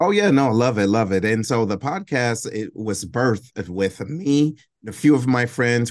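A plain, everyday voice from a man with an American accent, against a quiet background. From Detroit, Michigan. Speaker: veteran nonprofit director and podcast host. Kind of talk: casual interview.

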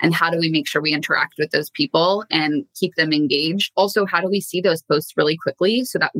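In an ordinary speaking voice, a woman talks at a fairly quick pace with hardly any pauses, a fairly low pitch, ordinary pitch variation, very even loudness and a dry, close sound with no echo. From Canada. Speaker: marketing executive. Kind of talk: interview conversation. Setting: remote call from home office.

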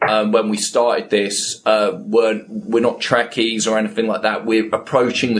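This man talks at a moderate pace. His accent is British. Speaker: podcast co-host. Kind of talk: interview.

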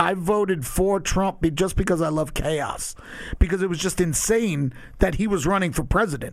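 A man talking in a high register at a middling tempo, his pitch varying in a typical way. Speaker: guest. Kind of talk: casual chat, interview.

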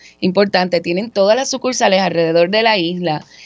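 With music in the background, a woman speaks at a medium pitch with ordinary pitch variation. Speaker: radio co-host, communications officer. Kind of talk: radio talk show. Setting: studio.

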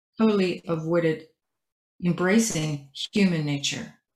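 A woman at a fairly slow pace, somewhat breathy, with ordinary pitch variation. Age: 70s. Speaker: author and entrepreneur. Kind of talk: casual interview. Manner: halting.

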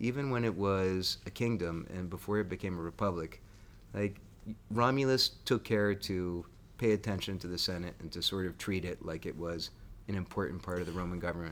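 Talking at a fairly quick pace, a man with a Northeastern US accent has a very deep, low pitch. The recording is very clean, with a silent background. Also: ordinary pitch variation. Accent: American (Northeast). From Connecticut, US. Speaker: podcast host. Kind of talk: casual history chat.

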